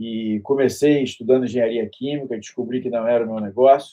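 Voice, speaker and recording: This man talks at a medium pitch. His intonation stays flat and monotone. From Brazil, Rio de Janeiro. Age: 60s. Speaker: university professor and author. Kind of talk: interview self-introduction. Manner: halting, with fillers and repetitions.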